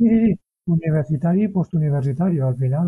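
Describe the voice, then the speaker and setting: Dry and close with no echo, the man's dark, mellow, somewhat breathy voice moves at a fairly quick pace. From Spain, Valencia. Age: 30s. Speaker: ultra-distance athlete and cancer survivor. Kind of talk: interview, personal testimony. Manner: halting, with frequent repetitions.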